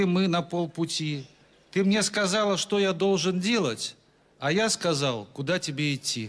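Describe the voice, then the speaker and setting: A man's high pitch at a fairly slow pace. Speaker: comic poet. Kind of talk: stand-up comic verse reading. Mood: dry deadpan humor. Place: stage. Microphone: handheld.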